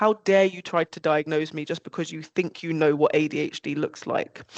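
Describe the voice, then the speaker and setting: With a normal speaking voice, a woman talks at a moderate pace and with fairly even intonation, in a dry, close sound with no echo. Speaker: panelist. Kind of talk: panel discussion. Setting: video call.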